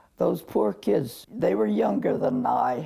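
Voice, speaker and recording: A woman's voice over noticeable background noise. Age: 80s+. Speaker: army nurse veteran. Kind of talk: interview answer.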